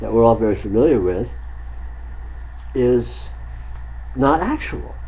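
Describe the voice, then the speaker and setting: Audible room echo around a man's fairly slow pace. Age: 60s. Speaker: spiritual teacher. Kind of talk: spiritual dialogue. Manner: halting.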